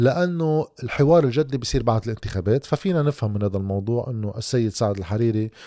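With lively intonation and a dark, mellow tone, a man talks at a fairly quick pace with hardly any pauses, the sound dry with no echo and the background quiet. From Lebanon. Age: 30s. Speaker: political commentator. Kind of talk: monologue commentary. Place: home room. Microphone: studio mic.

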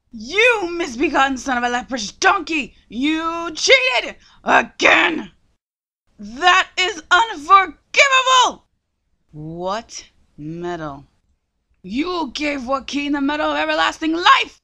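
A female-sounding voice shouts in a put-on character voice at a high pitch. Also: fairly slow pace. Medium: dub. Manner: angry, screaming.

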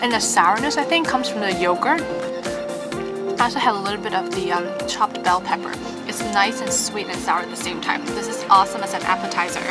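Very fast speech over loud background music. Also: woman. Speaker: food vlogger. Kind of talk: casual vlog chat. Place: cafe. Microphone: camera far.

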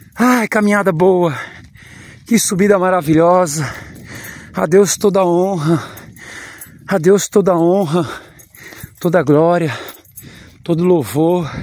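A man's high-pitched voice at a very slow pace, with ordinary pitch variation, very even loudness and long, frequent pauses, in a dry sound with no echo over a quiet background. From rural Minas Gerais, Brazil. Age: 40s. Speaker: vlogger; rural vlogger. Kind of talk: casual walking vlog. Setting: outdoors. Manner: animated. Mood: joyful, devotional. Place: open country. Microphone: phone near.

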